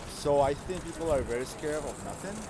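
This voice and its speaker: This man has a fairly high pitch. He speaks with a Colombian accent. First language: Spanish. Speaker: passerby. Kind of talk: street interview. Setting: outdoors on the street.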